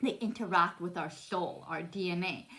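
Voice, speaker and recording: The pitch moves up and down in an ordinary way. It is an ordinary speaking voice. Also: woman. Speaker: spiritual vlogger. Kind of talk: casual monologue. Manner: stumbling, restarts words.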